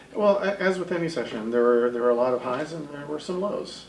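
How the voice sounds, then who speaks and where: Over noticeable background noise and audible room echo, a man with a slight Texas accent makes very wide pitch swings. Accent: slight Texas twang. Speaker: state senator. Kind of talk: interview.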